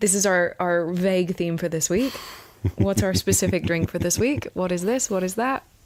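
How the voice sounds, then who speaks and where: A woman speaks at a moderate pace with a medium pitch and ordinary pitch variation. Noticeable background noise can be heard. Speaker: podcast co-host. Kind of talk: casual chat. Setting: studio with microphones, on a couch.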